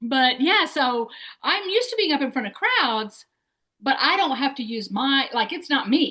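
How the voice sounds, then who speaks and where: A high-pitched woman with a Southern US accent, very wide pitch swings and a moderate pace. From US South, Tennessee/Alabama. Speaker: podcast host. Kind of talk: casual interview chat.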